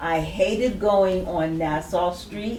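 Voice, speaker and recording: A woman's fairly low voice at a very slow pace, with ordinary pitch variation, audible room echo and noticeable background noise. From Princeton, New Jersey. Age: 70s. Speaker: community elder, panelist. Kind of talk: panel discussion, personal testimony.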